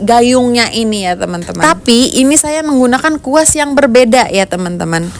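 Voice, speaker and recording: With a Sundanese accent, a woman speaks at a fairly quick pace in a high pitch over noticeable background noise. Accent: Sundanese-tinged Indonesian. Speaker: home cleaning vlogger. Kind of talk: casual vlog narration. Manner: chatty, friendly.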